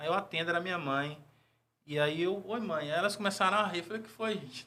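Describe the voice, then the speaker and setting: A man speaks in a raised, projected voice at a fairly quick pace. His intonation stays fairly even. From Brazil, Ilhéus, Bahia. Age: 40s. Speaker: diplomat. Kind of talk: interview.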